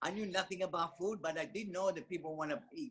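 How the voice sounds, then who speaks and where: A man talks very fast with fairly even intonation. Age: 70s. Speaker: network marketing business owner. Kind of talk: testimony. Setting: video call.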